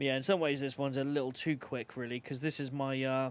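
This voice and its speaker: A man is speaking. He has an English accent. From England. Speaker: video game streamer. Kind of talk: casual gaming livestream commentary. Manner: animated.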